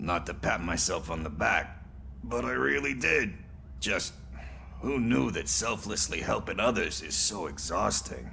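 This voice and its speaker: With clear background noise behind him, a man puts on a character voice at a very deep, low pitch. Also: moderate pace. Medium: video game. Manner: sarcastic, wry.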